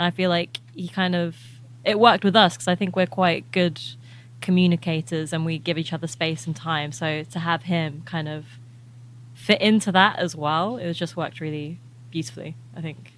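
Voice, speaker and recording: In an English accent, a woman with a fairly low pitch speaks on a very clean recording with a silent background. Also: ordinary pitch variation, moderate pace. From England. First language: Albanian. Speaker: musician. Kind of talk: interview.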